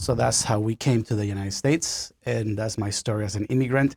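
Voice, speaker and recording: A man with a Spanish accent speaks at a fairly quick pace with ordinary pitch variation. The recording is very clean with a silent background, its sound dry and close with no echo. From Honduras. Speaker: pastor. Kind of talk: interview, personal testimony.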